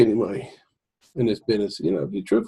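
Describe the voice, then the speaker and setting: The man's voice is somewhat breathy. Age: 60s. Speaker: home business marketer. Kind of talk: casual sales pitch to camera. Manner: informal, halting with fillers.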